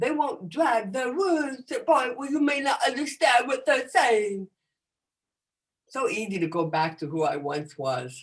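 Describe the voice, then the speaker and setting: A woman speaks with an American accent at a high pitch. Her voice makes very wide pitch swings. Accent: American English with deaf speech features. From United States. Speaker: comedian and motivational speaker. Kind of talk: talk to an audience. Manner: animated.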